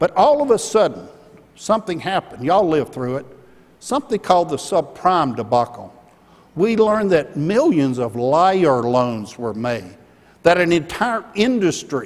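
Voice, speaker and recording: On a very clean recording with a silent background, a man talks with an Alabama accent. His pitch is high, with very wide swings. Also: moderate pace. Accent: Southern US (Alabama). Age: 60s. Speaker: keynote speaker, former company executive. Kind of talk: keynote speech. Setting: conference stage with audience.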